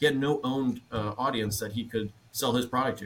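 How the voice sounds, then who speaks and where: A man talks at a fairly quick pace in a normal speaking voice, with fairly even intonation. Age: 20s. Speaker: fitness equipment company representative. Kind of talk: roundtable discussion.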